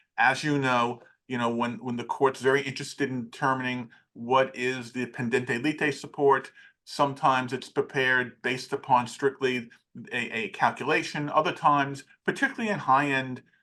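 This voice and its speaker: Against a quiet background, a man speaks at a moderate pace in a bright, sharp tone, his medium pitch kept in fairly even intonation. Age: 60s. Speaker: forensic accountant. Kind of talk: interview. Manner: halting.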